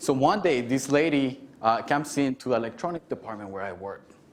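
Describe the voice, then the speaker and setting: A man with a Mexican accent, medium pitch, lively intonation and a moderate pace. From Mexico City, later Garden City, Kansas. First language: Spanish. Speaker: keynote speaker, alumnus. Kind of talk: keynote speech.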